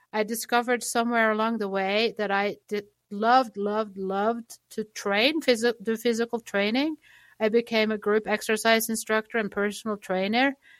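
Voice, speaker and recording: Fairly high in pitch with fairly even intonation, a woman speaks with a slight Norwegian accent in a very clean, dry, close recording with no echo and a silent background. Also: moderate pace. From Norway. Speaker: chiropractic clinic worker and patient advocate. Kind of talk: interview conversation.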